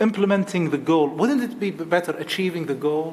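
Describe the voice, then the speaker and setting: A man speaks over noticeable background noise. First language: not English. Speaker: committee member. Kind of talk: meeting discussion. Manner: halting.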